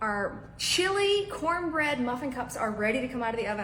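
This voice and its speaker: A woman speaks in an animated tone with lively intonation, amid audible room echo and noticeable background noise. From Mississippi. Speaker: cooking show host. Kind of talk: cooking tutorial. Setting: home kitchen, filmed by husband.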